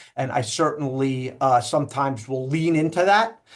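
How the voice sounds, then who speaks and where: A man talks at a moderate pace with a New York accent. His intonation stays fairly even over a quiet background. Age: 40s. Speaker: loan officer. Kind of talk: casual interview.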